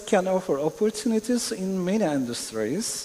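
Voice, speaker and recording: Noticeable background noise sits behind a man with a Turkish accent and lively intonation. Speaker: panelist. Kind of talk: panel discussion. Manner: halting.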